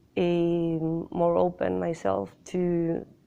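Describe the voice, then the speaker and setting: A woman speaks with a Spanish accent. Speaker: film director. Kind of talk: interview. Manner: halting.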